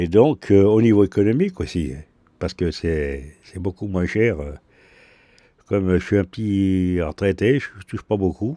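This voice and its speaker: On a very clean recording with a silent background, a man with a very deep, low pitch and a dark, mellow tone speaks at a fairly slow pace, with ordinary pitch variation and long, frequent pauses. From Lyon, France. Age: 60s. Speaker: retiree, bath-house user. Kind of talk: interview.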